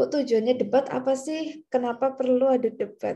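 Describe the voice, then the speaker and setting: A woman is speaking. Her tone is dark and mellow. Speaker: university lecturer. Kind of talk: lecture. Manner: casual, conversational.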